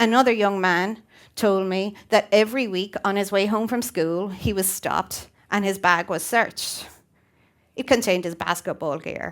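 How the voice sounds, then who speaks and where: A woman with an Irish accent is heard on a very clean recording with a silent background. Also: medium pitch for a woman, ordinary pitch variation, moderate pace. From Ireland (Waterford). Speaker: teacher. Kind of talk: prepared talk.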